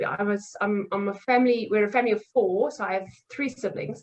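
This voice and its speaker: Speaking at a fairly quick pace, a woman with a South African accent has a fairly high pitch and ordinary pitch variation. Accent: South African (Afrikaans) English. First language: Afrikaans. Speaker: nutrition coach. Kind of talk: podcast interview.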